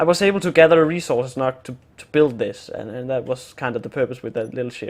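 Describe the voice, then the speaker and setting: With a Danish accent, a man talks in a fairly high pitch and ordinary pitch variation. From Denmark. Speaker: gaming youtuber. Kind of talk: gameplay tutorial. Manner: halting, many fillers and repeats.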